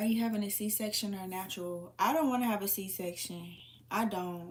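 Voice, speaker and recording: Somewhat breathy and medium in pitch, a woman speaks at a moderate pace with ordinary pitch variation. Audible room echo is present. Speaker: livestreamer answering viewer comments. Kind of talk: casual live chat.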